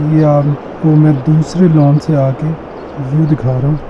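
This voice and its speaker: A man speaks at a fairly high pitch. Noticeable background noise can be heard behind him. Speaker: travel vlogger. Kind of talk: travel vlog. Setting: hotel room, then outdoors on lawn. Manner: animated.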